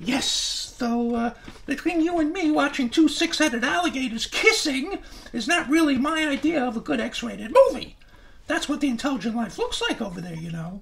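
A man puts on a character voice with an extremely high pitch. He keeps a moderate pace. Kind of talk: ventriloquist comedy routine, children's show.

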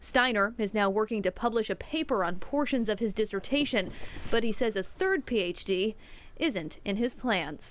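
An ordinary speaking voice moves at a moderate pace with lively intonation and very even loudness. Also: woman, fairly high pitch for a woman. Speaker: TV news reporter. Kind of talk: TV news report narration.

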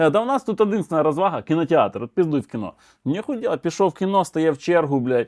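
A man talks at a very fast pace and a fairly high pitch, his voice making very wide pitch swings. The sound is dry and close, with no echo. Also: very clean recording, silent background. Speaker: comedian. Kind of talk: stand-up joke telling. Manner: animated, casual storytelling with crude swearing and voice impersonations.

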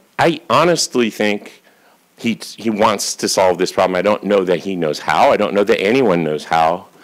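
With an American accent and very wide pitch swings, a man speaks at a moderate pace against a quiet background. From United States. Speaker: geneticist and professor; professor. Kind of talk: conference talk. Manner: casual, conversational. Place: hall. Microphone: podium.

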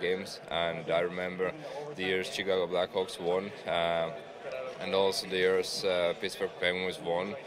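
Speaking at a fairly slow pace, a man is heard in a dry sound with no echo amid noticeable background noise. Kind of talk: interview answer. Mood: relaxed, nostalgic. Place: hall. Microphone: studio mic.

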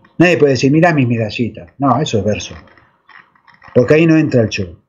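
Lively intonation marks this voice with an Argentine accent. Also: man. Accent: Rioplatense Argentine Spanish. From Argentina, Buenos Aires. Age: 60s. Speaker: alleged UFO contactee; interview guest. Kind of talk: interview testimony. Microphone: video call.

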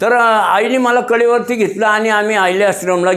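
High-pitched male speech, intonation fairly even. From Pune, Maharashtra. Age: 70s. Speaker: social activist and businessman. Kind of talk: life story interview.

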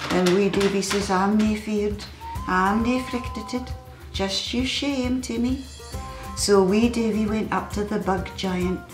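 With a Scottish accent, a woman speaks at a fairly slow pace and with fairly even intonation, with audible room echo and clear music in the background. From Scotland. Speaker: storyteller. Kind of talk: children's story telling. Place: home room.

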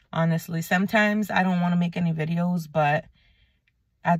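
A woman with a fairly low pitch speaks at a moderate pace in a somewhat breathy voice, with a dry sound with no echo over a quiet background. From New England, Puerto Rican heritage. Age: 30s. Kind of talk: casual faith talk to camera. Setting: in a car. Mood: earnest, concerned. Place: car. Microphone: phone near.

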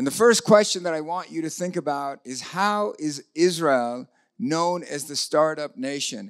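With ordinary pitch variation, a man speaks at a fairly slow pace in a high voice over a quiet background. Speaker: speaker. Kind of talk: lecture. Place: hall. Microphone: handheld.

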